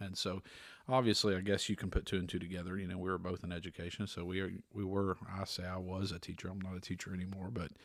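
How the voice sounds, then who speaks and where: In a Southern accent, a man with a very deep, low pitch speaks at a very fast pace on a very clean recording with a silent background. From US South, East Tennessee. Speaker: podcast co-host, former music teacher. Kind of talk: casual chat. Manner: relaxed, laid-back.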